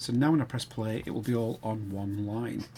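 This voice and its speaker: This speaker talks at a moderate pace with a Sheffield accent. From northern England, Sheffield. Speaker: game development tutor. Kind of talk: tutorial. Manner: casual, thinking aloud.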